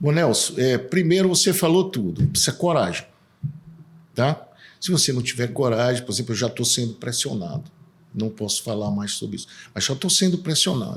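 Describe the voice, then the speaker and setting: Somewhat breathy, a man speaks at a moderate pace in a medium pitch with very wide pitch swings and long, frequent pauses. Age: 60s. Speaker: political candidate, civil engineer. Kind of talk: casual interview.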